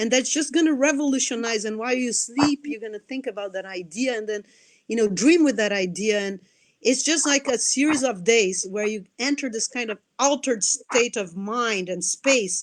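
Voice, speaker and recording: A woman with a Brazilian Portuguese accent, fairly high in pitch, at a moderate pace with ordinary pitch variation. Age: 40s. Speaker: anthropologist and nonprofit director. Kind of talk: interview. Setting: live video stream. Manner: animated; repeats words, halting starts.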